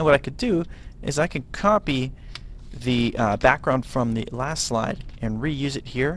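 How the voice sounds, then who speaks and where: The speaker is a man with a medium pitch. Vocal fry runs through his voice. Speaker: middle school teacher. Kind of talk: software tutorial. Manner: casual, with frequent fillers.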